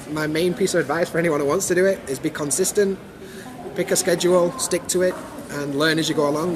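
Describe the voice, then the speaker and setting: A man with a Yorkshire accent talks at a fairly quick pace in a high-pitched voice. Background noise is noticeable. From Sheffield, Yorkshire, England. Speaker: YouTuber. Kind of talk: interview answer.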